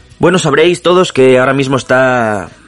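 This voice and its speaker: Lively intonation from a man at a fairly quick pace, with music in the background. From Asturias. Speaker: podcast host. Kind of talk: comedic show intro. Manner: animated.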